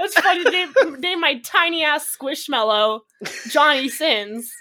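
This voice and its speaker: Her voice raised and projected, a woman speaks at a high pitch with a bright, sharp tone and a fairly slow pace. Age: 20s. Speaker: content creator and gamer. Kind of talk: casual chat.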